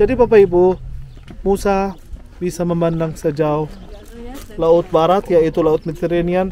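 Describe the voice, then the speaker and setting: The speech moves at a fairly slow pace with fairly even intonation and long, frequent pauses. Noticeable background noise is present. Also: man, high pitch for a man. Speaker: tour guide. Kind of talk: guided tour talk.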